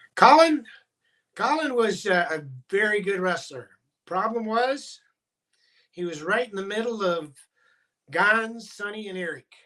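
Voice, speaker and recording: A man's high, raised and projected voice with a Midwestern US accent, bright and sharp in tone, lively in intonation, at a fairly slow pace with long, frequent pauses. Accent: US Midwest. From Iowa. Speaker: former high school wrestling coach. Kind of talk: podcast interview. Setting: video call.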